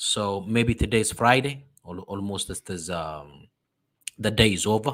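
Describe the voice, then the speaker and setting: A man's fairly low voice with an Ethiopian accent, on a very clean recording with a silent background. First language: Amharic. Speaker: diaspora religious program host. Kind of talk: sermon-like address. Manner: halting.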